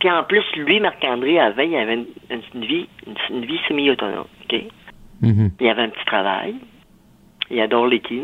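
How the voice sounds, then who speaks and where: A woman's pitch swings very widely at a moderate pace, with noticeable background noise behind her. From rural Saguenay, Quebec. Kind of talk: testimony.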